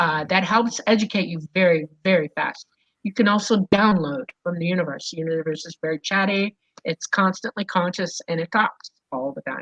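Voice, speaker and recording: A woman at a medium pitch talks at a moderate pace in an animated tone, with big swings in loudness, ordinary pitch variation and a dry, close sound with no echo. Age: 60s. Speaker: UFO contact experiencer. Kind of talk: interview.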